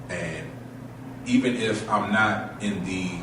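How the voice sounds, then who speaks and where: A man speaks at a fairly low pitch. Noticeable background noise and audible room echo fill the recording. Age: 30s. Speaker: spoken word artist. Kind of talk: interview. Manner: halting, many fillers.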